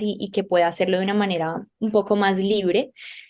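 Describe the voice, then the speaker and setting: Her pitch medium, a woman speaks at a moderate pace in a flat monotone. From Colombia. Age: young. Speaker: journalist and TV presenter. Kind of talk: interview.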